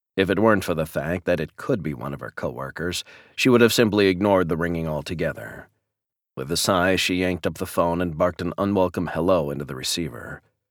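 A man with a very deep, low voice and vocal fry speaks very fast in a dramatic tone, the sound dry and close with no echo on a very clean recording with a silent background. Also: ordinary pitch variation. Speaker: audiobook narrator. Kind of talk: audiobook reading of a romantic suspense novel. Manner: dramatic, tense narration shifting to gritty intensity.

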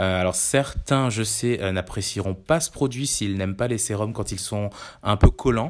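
A man talks fairly slowly in a fairly low voice with ordinary pitch variation. The recording is very clean, with a silent background. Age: 30s. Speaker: digital campaign staff. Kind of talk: product review monologue. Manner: hesitant, many fillers.

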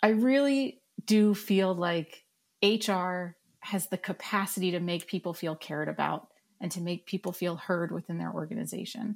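A woman with an American accent speaks in a normal speaking voice at medium pitch, with a moderate pace and ordinary pitch variation. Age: 40s. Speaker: digital learning lead. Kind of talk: casual chat. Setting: video call.

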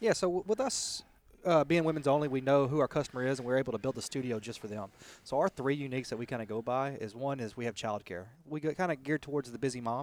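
Speaking at a very fast pace, a man keeps to a medium pitch with ordinary pitch variation. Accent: Texas. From US South, Texas. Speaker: fitness franchise co-founder. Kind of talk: interview. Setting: outdoors in a park.

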